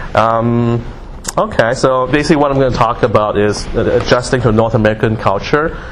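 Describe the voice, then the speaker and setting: Amid noticeable background noise and audible room echo, a man with a medium pitch talks at a fairly quick pace, with fairly even intonation and very even loudness. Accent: Canadian. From Singapore, moved to Canada as a child. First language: Mandarin. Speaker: guest speaker. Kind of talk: motivational talk. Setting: classroom with audience. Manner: hesitant, many fillers.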